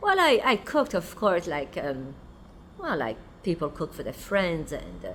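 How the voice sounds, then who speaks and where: A woman speaks at a moderate pace with a French accent. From France. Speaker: restaurant owner and chef. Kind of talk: documentary interview.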